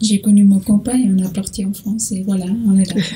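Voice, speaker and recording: Over noticeable background noise, a woman with a slight Portuguese accent speaks at a moderate pace and medium pitch in a monotone, flat intonation. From Portugal. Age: 20s. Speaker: interview guest, saleswoman and photographer. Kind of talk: interview. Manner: halting, many hesitations.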